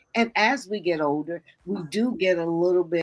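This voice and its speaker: A woman's plain, everyday voice with an American accent, fairly low in pitch with ordinary pitch variation. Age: 60s. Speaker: podcast co-host. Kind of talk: casual chat. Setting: live stream.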